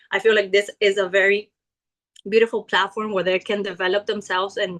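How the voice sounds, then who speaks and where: In a Spanish accent, a woman speaks at a fairly quick pace with a medium pitch. The sound is dry and close, with no echo. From Ecuador. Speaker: network marketing leader. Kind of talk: business pitch testimony. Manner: hesitant with fillers.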